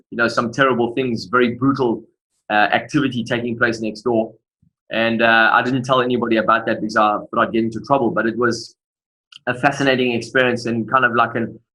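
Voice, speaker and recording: With a South African accent, a man speaks fairly quickly in a medium-pitched voice that is bright and sharp in tone, his intonation monotone and flat. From South Africa, Durban. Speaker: motivational speaker. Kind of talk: interview testimony.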